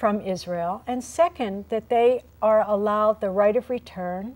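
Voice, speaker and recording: This woman has a fairly high pitch and a dark, mellow tone, speaking at a fairly slow pace with ordinary pitch variation. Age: 60s. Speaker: activist. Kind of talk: interview. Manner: animated.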